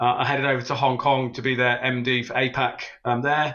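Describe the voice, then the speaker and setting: A man speaks with a British accent at a medium pitch. His intonation stays monotone and flat. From UK. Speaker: fintech executive. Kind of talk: podcast interview.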